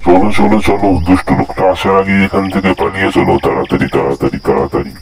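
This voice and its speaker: A man's cartoonish character voice, very deep and low in pitch, at a moderate pace. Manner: lively, friendly.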